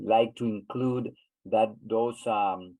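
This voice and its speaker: A man speaks at a moderate pace with a Spanish accent and a medium pitch. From Honduras. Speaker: webinar host. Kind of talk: webinar discussion. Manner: halting, many repeats.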